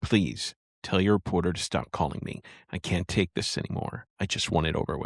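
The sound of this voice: In a put-on character voice, a man talks shakily at a fairly quick pace with a very deep, low pitch.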